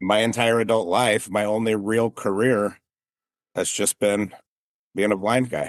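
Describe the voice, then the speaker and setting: A man speaks at a fairly slow pace with long, frequent pauses. His fairly low voice is monotone and flat, against a quiet background. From Las Vegas, Nevada. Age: 40s. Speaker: business owner. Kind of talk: interview.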